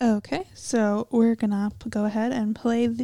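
At a moderate pace, a woman talks in an unremarkable speaking voice with fairly high pitch. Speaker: podcast host. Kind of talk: casual chat.

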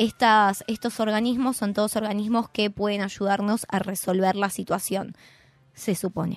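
Her medium-pitched voice stays monotone and flat, with very even loudness at a moderate pace, on a very clean recording with a silent background. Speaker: columnist on press freedom. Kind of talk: radio column talk.

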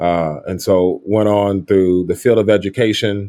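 A man speaks at a fairly low pitch with an American accent. His intonation is fairly even. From US Midwest, Kansas City, Missouri. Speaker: psychologist and education entrepreneur. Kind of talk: interview. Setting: remote call.

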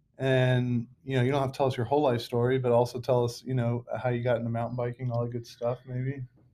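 A very fast man's voice, monotone and flat, with hardly any pauses. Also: medium pitch for a man. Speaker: podcast host. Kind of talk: casual chat. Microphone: laptop mic.

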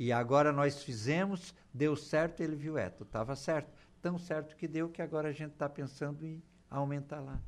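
A man with an unremarkable speaking voice talks at a moderate pace, his pitch fairly high and his intonation fairly even. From southern Brazil, Torres (Rio Grande do Sul). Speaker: businessman. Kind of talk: radio interview. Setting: radio studio.

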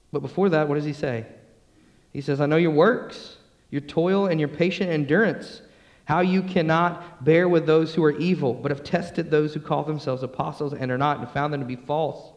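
The voice has an American accent and moves at a fairly quick pace. Its pitch varies in an ordinary way, and room echo is audible. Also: man. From US South, Atlanta, Georgia. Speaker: pastor. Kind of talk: sermon. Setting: church.

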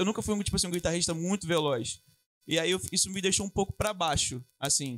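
A man's high voice at a very fast pace, with ordinary pitch variation and a dry, close sound with no echo. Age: 20s. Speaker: guitarist. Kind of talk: casual interview chat.

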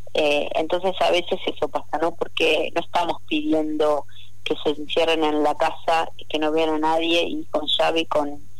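This woman's voice is very deep and low, delivered in a flat monotone at a moderate pace, with audible echo from the room. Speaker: public health official and doctor. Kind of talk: radio phone interview.

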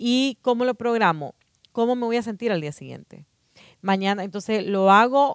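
Speech comes at a moderate pace in a dry, close sound with no echo, on a very clean recording with a silent background. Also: woman. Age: 40s. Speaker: personal development speaker. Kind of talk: casual chat. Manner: halting, repeats words.

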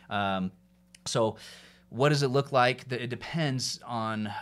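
An ordinary speaking voice from a man with an American accent, at a moderate pace with ordinary pitch variation. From US South, Atlanta, Georgia. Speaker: mortgage lender. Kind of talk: casual interview. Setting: studio, sitting next to host.

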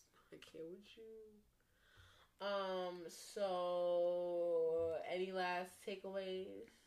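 Very slow speech with monotone, flat intonation carries audible room echo. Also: woman, fairly low pitch for a woman. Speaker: podcast co-host. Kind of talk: casual chat.

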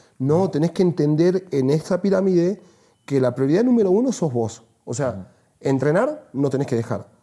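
A man with a fairly high pitch and a dark, mellow tone talks at a fairly quick pace, his pitch swinging very widely. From northern Argentina (Salta). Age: 30s. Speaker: e-commerce entrepreneur. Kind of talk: casual chat.

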